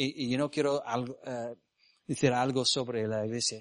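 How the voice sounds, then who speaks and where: A man talks with an English accent. His intonation is fairly even. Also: dry, close sound with no echo. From US South, Mississippi. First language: English (speaking Spanish). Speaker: missionary preacher. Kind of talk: sermon. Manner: halting.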